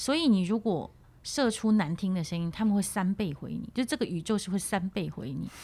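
A woman's somewhat breathy, medium-pitched voice with a dark, mellow tone, lively intonation and a fairly quick pace, on a very clean recording with a silent background. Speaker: voice coach. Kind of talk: interview conversation.

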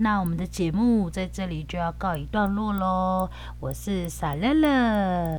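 A woman talks at a fairly slow pace, with audible echo in the room. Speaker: podcast host. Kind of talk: casual podcast chat with language teaching.

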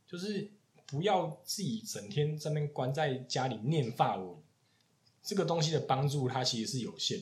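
With a Taiwanese accent, a man talks at a moderate pace in a fairly high, somewhat breathy voice that makes very wide pitch swings. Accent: Taiwanese Mandarin. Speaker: podcast host, chef. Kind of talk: casual chat.

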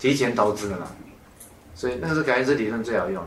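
Lively intonation against audible room echo. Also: man. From Taiwan. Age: 50s. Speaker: author and lecturer. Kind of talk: talk to an audience.

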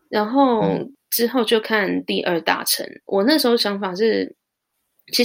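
This clip features a female speaker. There is no background sound at all, and the audio is very clean. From Taiwan. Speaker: high school teacher. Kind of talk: casual interview chat. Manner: hesitant with many fillers.

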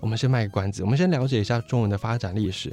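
With music in the background, a man of fairly low pitch speaks at a very fast pace. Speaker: history and language YouTuber. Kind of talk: educational monologue.

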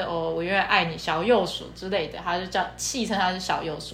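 With audible room echo and noticeable background noise, a woman speaks at a fairly quick pace, medium in pitch with ordinary pitch variation. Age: 20s. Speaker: podcast co-host. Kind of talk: casual chat.

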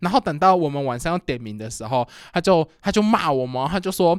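Loud and high-pitched, a man speaks in a dry, close sound with no echo. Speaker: podcast co-host. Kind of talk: casual chat.

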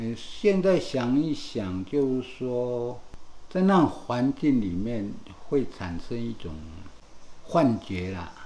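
Speaking at a very slow pace with long, frequent pauses, a man at a medium pitch makes very wide pitch swings, and audible room echo comes through. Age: 60s. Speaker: burn survivor. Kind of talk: casual interview. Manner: halting.

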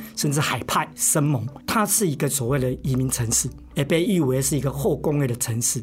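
A man uses an ordinary speaking voice at medium pitch and a moderate pace. His intonation is lively while his loudness stays very even. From Taiwan, Lukang (Changhua). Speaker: art professor and curator. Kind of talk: interview.

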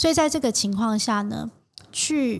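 In a very clean recording with a silent background, a woman is talking. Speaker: fashion designer. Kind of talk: interview. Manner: gentle but assured; slow.

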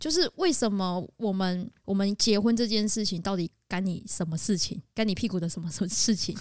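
A woman talks at a moderate pace and medium pitch in an ordinary speaking voice. The recording is very clean, with a silent background. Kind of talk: casual chat, podcast interview.

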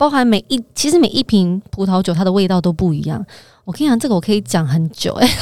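A woman talks at a very fast pace, her medium pitch swinging very widely. The sound is dry and close with no echo. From Taiwan. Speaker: finance professional, former model. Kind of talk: casual chat.

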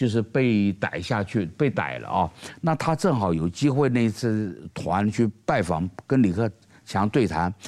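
At a fairly slow pace, a man speaks in a normal speaking voice, fairly low in pitch and lively in intonation. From Taiwan. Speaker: political commentator. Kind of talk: panel discussion.

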